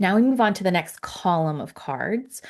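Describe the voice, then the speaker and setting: The woman's intonation is lively, and the background stays quiet. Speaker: angel card reader. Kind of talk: tutorial. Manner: fast; casual, with many fillers.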